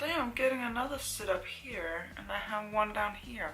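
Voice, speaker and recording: A woman talks at a moderate pace. There is audible room echo, with music playing in the background. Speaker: beauty vlogger. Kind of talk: casual chat.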